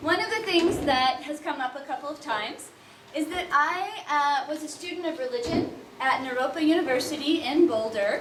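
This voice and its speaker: A woman speaks loudly and enthusiastically at a high pitch, with lively intonation and a moderate pace. Audible room echo is present. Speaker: event founder and speaker. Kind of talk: conference talk. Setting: room with live audience, no microphone. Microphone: no microphone, speaking unamplified.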